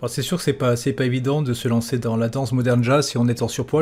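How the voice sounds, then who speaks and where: A man talks at a very fast pace. His medium-pitched voice keeps fairly even intonation. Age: 50s. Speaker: podcast host. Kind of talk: interview. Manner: casual, joking.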